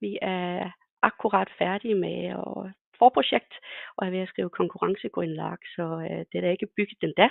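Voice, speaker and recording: A woman is speaking. Her pace is fairly slow. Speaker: consulting engineer. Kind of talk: webinar presentation. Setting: webinar. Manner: hesitant, many fillers.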